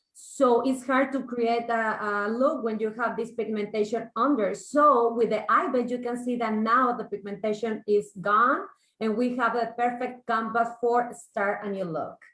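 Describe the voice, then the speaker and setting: With a Mexican accent, a woman talks at a fairly slow pace with a fairly high pitch. She leaves hardly any pauses. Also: fairly even intonation. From Mexico. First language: Spanish. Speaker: makeup artist and salon owner. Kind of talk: makeup tutorial.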